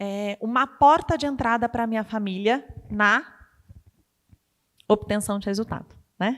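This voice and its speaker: A woman with a fairly high pitch speaks in an animated tone, leaving long, frequent pauses. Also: ordinary pitch variation, fairly slow pace. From Brazil, countryside of Botucatu, São Paulo state. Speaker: entrepreneurship speaker, engineer. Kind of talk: motivational talk. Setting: stage with audience.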